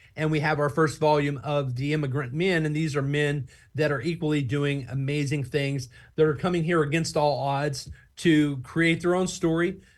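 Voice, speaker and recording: Somewhat breathy speech comes in an American accent with fairly even intonation. The background is quiet. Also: man, fairly high pitch for a man, moderate pace. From Oklahoma, USA. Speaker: nonprofit founder and book publisher. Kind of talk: interview answer.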